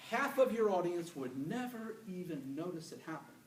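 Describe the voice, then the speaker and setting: A high-pitched man with lively intonation, amid noticeable background noise and audible room echo. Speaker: public speaker. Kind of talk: presentation to an audience. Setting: stage with audience. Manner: fast.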